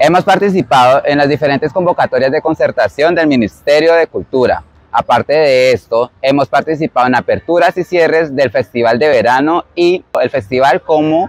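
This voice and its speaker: With an unremarkable speaking voice, a man talks at a moderate pace and fairly high pitch, with ordinary pitch variation, very even loudness and hardly any pauses, in a dry sound with no echo. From Colombian Amazon region. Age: 20s. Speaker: dance instructor. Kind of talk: scripted presentation. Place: waterside.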